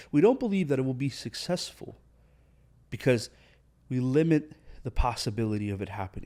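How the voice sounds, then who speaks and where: Long, frequent pauses break up a fairly quick pace in this dark, mellow voice with lively intonation, recorded very cleanly against a silent background. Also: man, medium pitch for a man. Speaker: podcast host, motivational speaker. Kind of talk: motivational podcast monologue. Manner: fast; animated.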